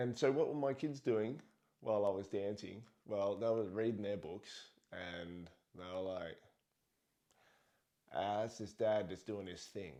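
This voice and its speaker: Using an Australian accent, a man with a fairly low pitch and a dark, mellow tone speaks at a fairly slow pace with ordinary pitch variation and long, frequent pauses. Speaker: parenting vlogger. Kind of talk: casual monologue.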